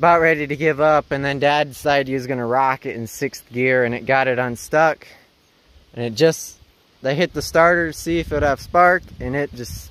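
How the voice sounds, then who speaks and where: The recording has a dry sound with no echo as a man speaks at a moderate pace with ordinary pitch variation. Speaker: tractor owner. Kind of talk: casual vlog chat. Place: farm machine. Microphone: phone near.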